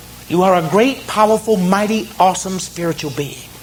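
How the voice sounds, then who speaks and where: Noticeable background noise and audible room echo surround a man with a Southern US accent. His pitch is high, and he talks at a moderate pace. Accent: Southern American. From US South, South Carolina. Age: 50s. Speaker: near-death experience speaker. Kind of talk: motivational talk. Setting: stage with audience. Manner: animated.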